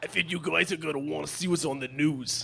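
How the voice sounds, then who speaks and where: A man speaks in a put-on character voice, pitched fairly high. He talks very fast. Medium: stage play. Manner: laughing through lines.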